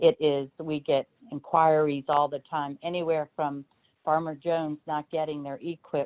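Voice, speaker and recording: The woman's voice sits very deep and low. Her intonation stays flat and monotone. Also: moderate pace. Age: 60s. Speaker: agency division director. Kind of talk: virtual career talk. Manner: hesitant with many ums.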